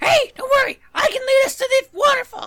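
This put-on character voice sits at an extremely high pitch and moves at a fairly quick pace. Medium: actual play. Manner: bright, energetic.

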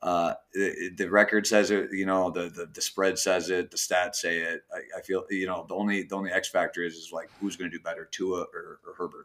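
A man with an American accent, fairly quick and with hardly any pauses, his loudness swinging widely. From Minnesota. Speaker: sports bettor on football picks panel. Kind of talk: casual chat.

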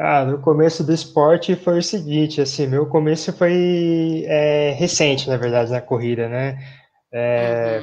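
With a fairly high pitch for a man, this male speaker shows ordinary pitch variation. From São Paulo city, Brazil. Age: 20s. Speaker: physical education graduate, runner. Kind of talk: casual interview. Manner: halting.

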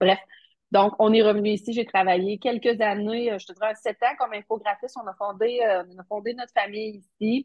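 A woman's unremarkable speaking voice, fairly high in pitch, with fairly even intonation at a moderate pace. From Quebec, Matane (Bas-Saint-Laurent). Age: 40s. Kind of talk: interview.

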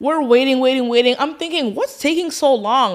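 Only a woman's voice is heard on this very clean recording with a silent background. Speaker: podcast co-host. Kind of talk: casual chat.

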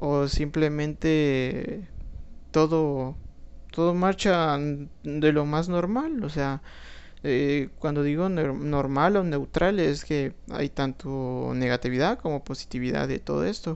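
This man speaks with a Guatemalan accent at a very slow pace. His pitch is fairly high, with ordinary variation. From Guatemala, Guatemala City. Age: 20s. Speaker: podcaster and law student. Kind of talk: solo monologue. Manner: hesitant, many fillers.

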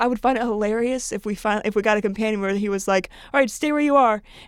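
A woman talking at a very fast pace with ordinary pitch variation. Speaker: podcast co-host. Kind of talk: casual chat.

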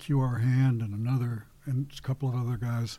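This man has an American accent and a dark, mellow tone that is somewhat breathy. His medium-pitched voice moves at a moderate pace with monotone, flat intonation. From Kansas City area, US Midwest. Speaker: activist and war veteran. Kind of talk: interview conversation. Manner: halting.

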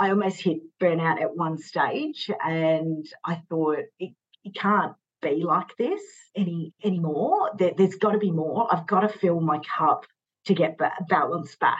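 The speaker has an Australian accent and a fairly slow pace. Pitch variation is ordinary. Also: woman, fairly low pitch for a woman. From Sydney, Australia. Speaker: fashion stylist. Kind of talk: casual chat.

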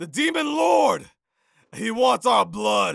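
The speaker uses a put-on character voice. It comes out as shouting. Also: man. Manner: panicked, frantic shouting.

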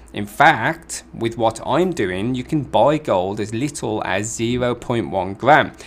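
A man's unremarkable speaking voice, medium in pitch, with lively intonation. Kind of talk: sales pitch. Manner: persuasive, repeating the catchphrase 'ultimate insurance' like a hard-sell slogan; upbeat and fluent, steady salesman patter with urgent reassurance.

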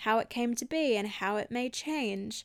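In a very clean recording with a silent background, a woman speaks with an Australian accent. Her high-pitched voice moves at a fairly slow pace. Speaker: podcast host, holistic healer and health coach. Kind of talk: solo reflective podcast talk.

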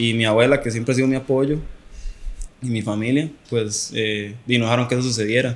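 With a Costa Rican accent, a man of medium pitch speaks at a moderate pace with fairly even intonation against noticeable background noise. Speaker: professional footballer. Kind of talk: casual chat.

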